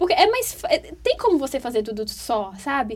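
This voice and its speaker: A woman speaks at a fairly quick pace. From Brazil, Teresina (Piauí, Northeast). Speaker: university student. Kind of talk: casual interview chat.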